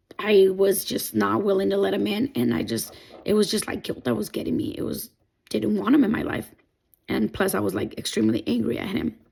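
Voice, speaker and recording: The speaker is a woman with a non-native accent. Her pace is fairly quick. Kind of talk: personal testimony talk to camera.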